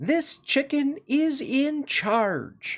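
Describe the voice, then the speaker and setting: A man speaks in a put-on character voice at an extremely high pitch. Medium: read story. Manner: confident, matter-of-fact.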